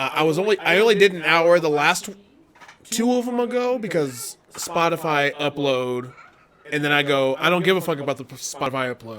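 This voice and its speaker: Noticeable background noise sits behind a man speaking at a moderate pace. His pitch is fairly high and his intonation lively. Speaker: podcast host. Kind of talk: casual chat.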